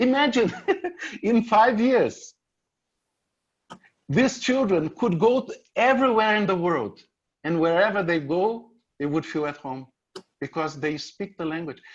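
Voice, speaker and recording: This man has a Brazilian Portuguese accent and a high voice that swings very widely in pitch. He speaks fairly slowly, with long, frequent pauses. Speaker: author and speaker. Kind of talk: presentation with Q&A.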